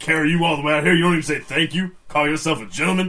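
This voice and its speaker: A man's put-on character voice, fairly high in pitch and at a very fast pace. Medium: actual play. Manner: blunt, folksy, ungrammatical.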